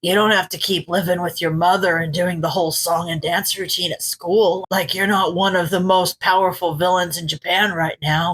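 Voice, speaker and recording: A woman's put-on character voice at a medium pitch, monotone and flat, moderate in pace with hardly any pauses, in a dry, close sound with no echo. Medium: read story. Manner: casual, wry, teasing.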